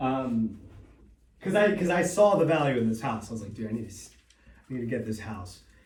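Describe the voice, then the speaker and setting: A man's somewhat breathy, fairly quick speech with lively intonation, big swings in loudness, long, frequent pauses and audible room echo. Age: 30s. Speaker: real estate investor and seminar host. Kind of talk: seminar talk. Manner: casual, halting with repetitions.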